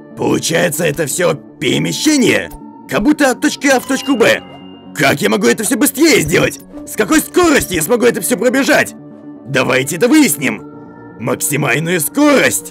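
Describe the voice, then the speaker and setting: Over clear background music, a man does a high-pitched cartoonish character voice at a fairly quick pace. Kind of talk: cartoon dub acting. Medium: fan dub. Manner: curious, excited, thinking aloud.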